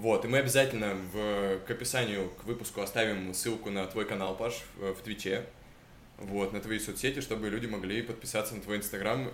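Audible room echo surrounds a man speaking at a moderate pace in a fairly low pitch. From Chelyabinsk, Russia. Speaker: podcast host. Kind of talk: casual chat.

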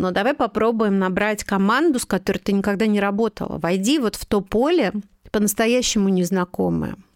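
In a very clean recording with a silent background, a woman with a plain, everyday voice speaks fairly quickly at a medium pitch, with ordinary pitch variation. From Moscow, Russia. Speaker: magazine editor-in-chief. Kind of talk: interview conversation.

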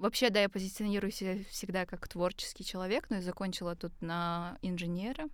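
In a plain, everyday voice, a woman talks at a fairly quick pace and medium pitch with hardly any pauses and ordinary pitch variation. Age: 20s. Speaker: designer and singer. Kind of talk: casual chat. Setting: studio at university.

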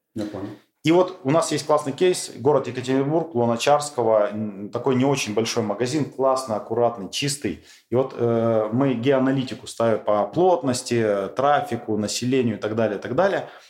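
A man with a plain, everyday voice speaks at medium pitch and a moderate pace, with ordinary pitch variation. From Urals, Russia. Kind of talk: interview.

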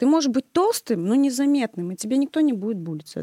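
A woman's high-pitched voice with a dark, mellow tone, lively intonation and a fairly quick pace, in a dry, close sound with no echo. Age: 30s. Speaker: music teacher. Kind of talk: casual chat.

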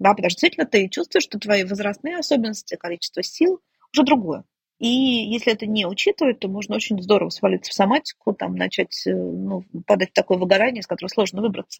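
The sound here is dry and close, with no echo. This woman talks at a very fast clip. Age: 50s. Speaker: family psychologist. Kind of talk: interview conversation.

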